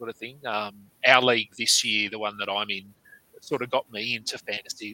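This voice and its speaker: A man with an Australian accent speaks at a medium pitch, the sound dry and close with no echo. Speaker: fantasy basketball podcast host. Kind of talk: casual interview.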